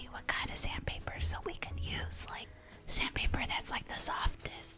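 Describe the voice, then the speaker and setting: A woman whispers over noticeable background noise. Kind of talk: casual podcast talk. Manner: whispered.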